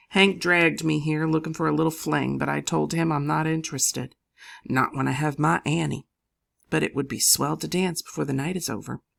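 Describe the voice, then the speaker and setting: A put-on character voice, raspy and low-to-middle in pitch, at a fairly quick pace on a very clean recording with a silent background. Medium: read story. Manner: earnest, polite.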